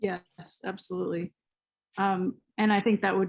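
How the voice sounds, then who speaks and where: Against a silent background on a very clean recording, a woman speaks at a moderate pace and medium pitch with fairly even intonation in a plain, everyday voice. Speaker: event host, creative writer. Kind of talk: moderated conversation.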